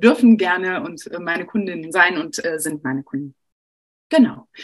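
Here is a woman with a normal speaking voice. She talks at a moderate pace with lively intonation. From Sauerland, Germany. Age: 40s. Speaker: personal trainer and coach. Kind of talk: presentation in an online panel. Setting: video call.

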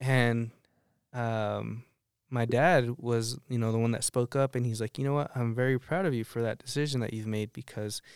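In a very clean recording with a silent background and a dry, close sound free of echo, a man with an American accent talks at a moderate pace at medium pitch in a normal speaking voice. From Arizona, Tucson area. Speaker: minister. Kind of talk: testimony.

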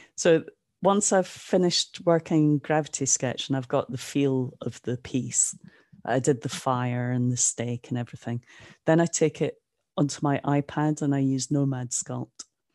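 This woman with a northeast Scottish accent has a very deep, low pitch and a dark, mellow tone, captured in a dry, close sound with no echo. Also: ordinary pitch variation, moderate pace, quiet background. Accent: Scottish, northeast Scotland. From Aberdeen, Scotland. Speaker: NFT artist. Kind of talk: casual interview chat.

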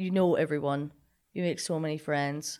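A woman with a Scottish accent speaks in a very deep, low pitch at a moderate pace. Her intonation is fairly even, and the recording is very clean with a silent background. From Scotland, Linlithgow. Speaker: college athlete and graduate student. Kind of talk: casual chat.

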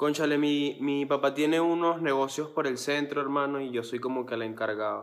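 Hardly pausing, a man speaks in a fairly high pitch with fairly even intonation. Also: moderate pace. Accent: Venezuelan. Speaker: singer. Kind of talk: casual chat.

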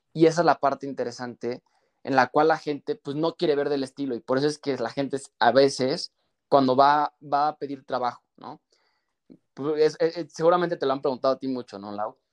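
A man with a fairly high voice talks at a fairly quick pace, keeping his intonation fairly even while his loudness swings widely, in a dry, close sound with no echo. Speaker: image consultant. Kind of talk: casual interview chat.

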